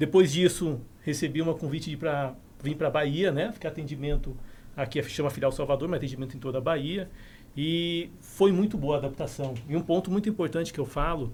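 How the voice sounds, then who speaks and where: Fairly high-pitched and somewhat breathy, a man talks at a fairly quick pace with ordinary pitch variation. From southern Brazil, Curitiba. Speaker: insurance company branch manager. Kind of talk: casual podcast interview.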